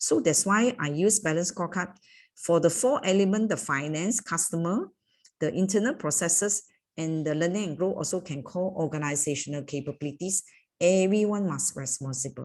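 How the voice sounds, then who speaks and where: A woman with a plain, everyday voice speaks at a fairly low pitch and a moderate pace. Her intonation is lively, and the background is quiet. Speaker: corporate trainer. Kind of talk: training workshop.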